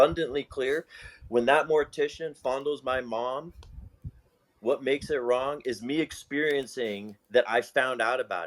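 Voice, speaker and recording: A man with an unremarkable speaking voice talks at a medium pitch and a fairly slow pace, with ordinary pitch variation and big swings in loudness. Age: 40s. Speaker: debate participant. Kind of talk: heated debate.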